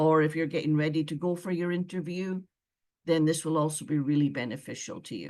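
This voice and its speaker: A woman with a Scottish accent talks at a fairly quick pace in a very deep, low voice, her dark, mellow tone carrying fairly even intonation over a quiet background. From Scotland. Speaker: former visa officer. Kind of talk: webinar presentation.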